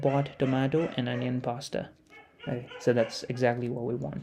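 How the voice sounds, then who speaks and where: Amid noticeable background noise, a man speaks at a medium pitch and a moderate pace with fairly even intonation. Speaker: software developer streaming a coding session. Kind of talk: live coding tutorial. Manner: low-energy; casual, thinking aloud with fillers.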